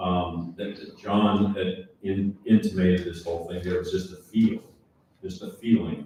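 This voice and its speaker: A man talks fairly slowly in a fairly low pitch. His voice is somewhat breathy, with monotone, flat intonation. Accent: American. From Southern California. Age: 70s. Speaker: former tour golfer. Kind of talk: panel talk at a seminar.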